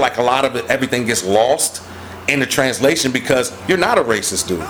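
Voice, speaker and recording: Lively intonation from a man at a fairly quick pace amid noticeable background noise. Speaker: musician promoting his music. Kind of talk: casual chat.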